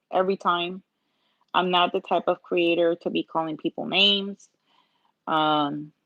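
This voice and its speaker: Speaking at a fairly slow pace with long, frequent pauses, a woman with a Puerto Rican accent uses a fairly low pitch, monotone, flat intonation and very even loudness. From Puerto Rico. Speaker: nail art content creator, pharmacy technician. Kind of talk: live-stream tutorial chat.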